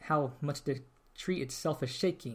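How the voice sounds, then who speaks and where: On a very clean recording with a silent background, a man speaks in a fairly high, somewhat breathy voice with ordinary pitch variation. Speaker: podcast host. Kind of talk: casual podcast talk.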